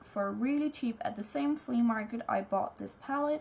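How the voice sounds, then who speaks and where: Her intonation is lively. This woman talks with a non-native accent. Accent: foreign accent in English. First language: Danish. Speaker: art YouTuber. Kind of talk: live voiceover tutorial. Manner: casual, spontaneous.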